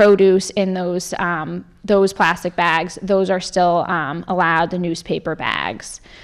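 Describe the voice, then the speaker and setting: The background stays quiet. A woman does the talking. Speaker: presenter. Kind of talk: informational public talk. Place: meeting room. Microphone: handheld.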